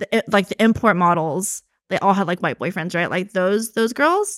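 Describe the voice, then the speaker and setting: A woman with an American accent speaks at a moderate pace with ordinary pitch variation in a plain, everyday voice. The sound is dry and close, with no echo. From US South, Georgia. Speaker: online content creator. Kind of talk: casual chat. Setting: studio.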